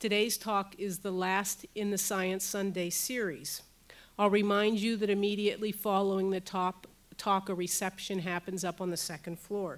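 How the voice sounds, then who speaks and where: A woman's medium-pitched voice in a monotone, flat intonation. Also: moderate pace. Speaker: university professor and center director. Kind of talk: welcome and speaker introduction. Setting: stage with audience.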